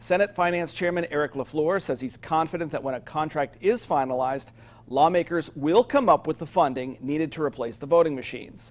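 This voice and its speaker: An ordinary speaking voice comes from a man with an American accent. His pitch is fairly high with ordinary variation, and he keeps a fairly quick pace. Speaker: television news anchor and reporter. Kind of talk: TV news anchor delivery.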